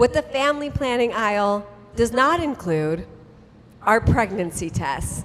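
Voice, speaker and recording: A woman's fairly high voice with very wide pitch swings, at a fairly slow pace, over noticeable background noise. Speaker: author and storyteller. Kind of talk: live storytelling reading of a comic memoir. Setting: live stage with audience. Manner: comedic, conversational.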